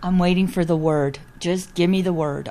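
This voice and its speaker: A woman with a Canadian accent uses an ordinary speaking voice, fairly low in pitch, at a moderate pace with fairly even intonation. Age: 60s. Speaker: patient, retired steelworker. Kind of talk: interview.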